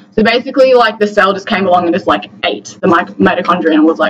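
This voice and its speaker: Noticeable background noise accompanies a speaker talking in an Australian accent. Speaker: medical student tutor. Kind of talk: lecture. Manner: fast.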